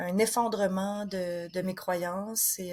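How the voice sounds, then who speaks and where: A woman is speaking. She talks with a Quebec accent. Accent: Québécois French. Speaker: author and former missionary. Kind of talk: interview. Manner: hesitant, many fillers.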